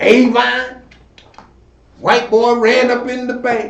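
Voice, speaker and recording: A man speaks with noticeable background noise. The room echo is audible. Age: 70s. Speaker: community elder and commentator. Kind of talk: talk show commentary. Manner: halting, repeating words; animated.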